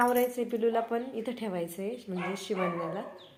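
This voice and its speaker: Noticeable noise behind fairly even intonation. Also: woman. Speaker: vlogger and mother. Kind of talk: casual vlog chat. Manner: baby talk to infant.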